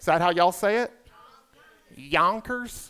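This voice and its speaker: Raising and projecting his voice, a man with a Southern US accent speaks fairly slowly at a high pitch, bright and sharp in tone, with ordinary pitch variation. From US South, South Carolina. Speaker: comedian emcee. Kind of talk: stand-up. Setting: stage with audience.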